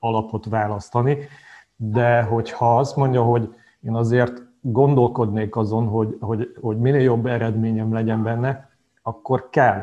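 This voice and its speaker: A man with a medium-pitched voice and a dark, mellow tone speaks at a fairly slow pace in a monotone, flat intonation. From Hungary. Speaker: financial planner. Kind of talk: casual interview.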